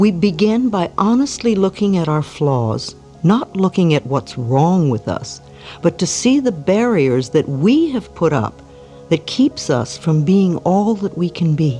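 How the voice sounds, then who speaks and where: A woman speaks in a calm, warm tone at a fairly slow pace, her pitch swinging very widely. Music plays in the background. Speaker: self-help author and speaker. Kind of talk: self-help affirmation talk. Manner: calm, warm, gentle.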